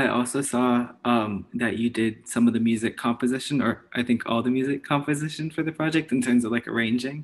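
A man talks in an ordinary speaking voice at a medium pitch, with fairly even intonation and very even loudness. His pace is fairly quick, with hardly any pauses. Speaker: podcast host. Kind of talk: casual chat.

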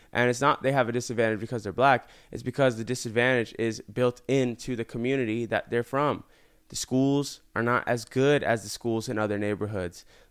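A man with an American accent speaks at a fairly quick pace in a plain, everyday voice of medium pitch, his intonation fairly even, in a very clean recording with a silent background. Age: 20s. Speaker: YouTuber and entrepreneur. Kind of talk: casual interview.

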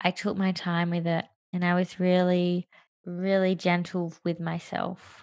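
At a fairly slow pace, a woman with an Australian accent speaks in a monotone, flat intonation. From Australia, Perth. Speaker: coach. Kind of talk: interview. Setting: remote call.

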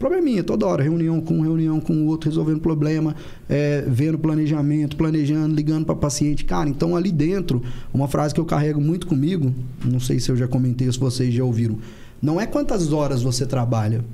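Noticeable background noise and audible room echo surround a man's voice. He speaks at a fairly high pitch and a fairly quick pace. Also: very even loudness. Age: 30s. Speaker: dentist and clinic owner. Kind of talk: podcast interview.

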